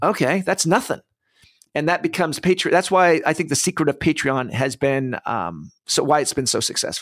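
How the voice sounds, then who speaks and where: A man with vocal fry talks at a fairly quick pace and a fairly high pitch with ordinary variation, the sound dry and close with no echo on a very clean recording with a silent background. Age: old. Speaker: crowdfunding podcast host. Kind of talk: casual chat.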